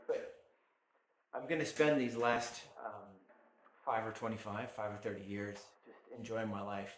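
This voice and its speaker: A man speaks at a moderate pace and medium pitch, with fairly even intonation and long, frequent pauses. His loudness swings widely, and room echo is audible. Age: 50s. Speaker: maker and blacksmith running a workshop channel. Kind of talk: casual monologue to camera. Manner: halting, many fillers and restarts.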